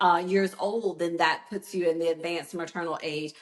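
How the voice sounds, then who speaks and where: A woman talks at a moderate pace and a medium pitch. Noticeable background noise can be heard. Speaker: obstetrician. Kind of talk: interview. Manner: loud.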